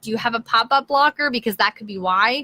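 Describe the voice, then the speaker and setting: Speaking at a fairly quick pace, a woman with a fairly high, bright and sharp voice sounds dry and close with no echo. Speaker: blogging coach. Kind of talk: live stream tutorial. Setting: live video stream. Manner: casual, filler-heavy.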